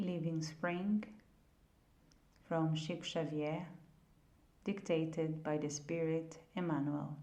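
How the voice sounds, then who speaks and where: In a non-native accent, a woman speaks at a very slow pace in a fairly low, dark, mellow voice, with audible room echo. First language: not English. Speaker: audiobook reader. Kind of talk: reading aloud.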